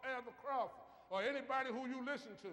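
A man's raised, projected voice, extremely high in pitch, bright and sharp, animated in tone and fairly quick in pace. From US South. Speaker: preacher. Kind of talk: sermon. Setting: church. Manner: animated, call-and-response preaching with emphatic delivery. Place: church. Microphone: camera far.

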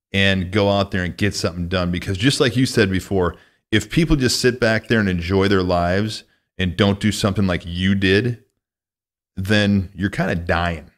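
Against a quiet background, a man with an American accent speaks in a fairly low voice with ordinary pitch variation. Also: moderate pace. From US Midwest, northwest Illinois. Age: 40s. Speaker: podcast host. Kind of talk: casual interview. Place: studio. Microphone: studio mic.

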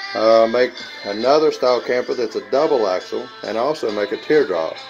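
A man talks at a moderate pace while clear music is heard in the background. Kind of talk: casual show-and-tell vlog. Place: workshop. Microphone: phone near.

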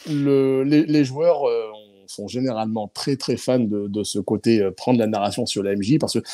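Over a quiet background, a man with a dark, mellow tone talks fairly slowly with ordinary pitch variation, the sound dry with no echo. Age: 40s. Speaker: board game and tabletop RPG publisher; guest. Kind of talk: live-stream interview. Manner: halting, many repetitions and fillers. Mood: enthusiastic, relaxed. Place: home room. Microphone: video call.

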